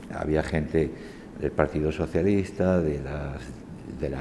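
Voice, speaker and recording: Very deep and low in pitch, a man's voice keeps a fairly even intonation. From Spain. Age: 60s. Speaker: university lecturer. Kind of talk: oral history testimony. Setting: university faculty. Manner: hesitant, many fillers.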